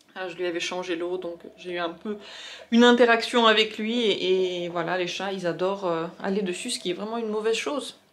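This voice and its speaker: Moderate speed and ordinary pitch variation from a woman. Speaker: vlogger. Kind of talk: casual vlog talk. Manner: halting; soft-spoken.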